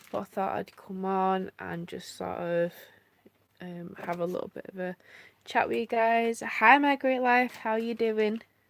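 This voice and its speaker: A woman with a British accent speaks at a fairly slow pace and medium pitch. Her pitch varies in an ordinary way while her loudness swings widely. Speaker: family vlogger. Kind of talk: casual live-stream chat. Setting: live stream at home.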